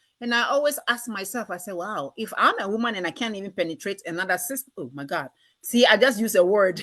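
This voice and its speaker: Against a quiet background, a woman with a Ghanaian accent talks very fast at a medium pitch, with lively intonation and big swings in loudness. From Southern Ghana. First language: Ghanaian language. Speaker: talk show host. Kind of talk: casual interview chat.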